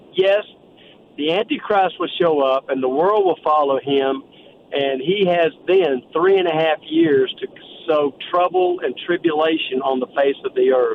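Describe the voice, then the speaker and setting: A fairly slow American-accented voice with ordinary pitch variation over noticeable background noise. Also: man, fairly high pitch for a man. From Texas. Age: 70s. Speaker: businessman and ministry founder. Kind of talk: interview testimony.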